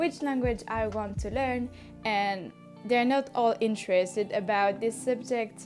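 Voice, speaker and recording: Over music in the background, a woman with a non-native accent speaks fairly slowly at a fairly high pitch with ordinary pitch variation. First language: French. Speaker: language learner. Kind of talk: casual talk to camera.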